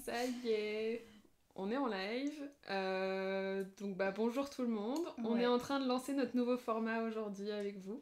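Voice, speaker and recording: Fairly high in pitch, a woman talks at a fairly slow pace with ordinary pitch variation. It is a normal speaking voice. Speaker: hypnosis practitioner. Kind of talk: casual live talk to camera.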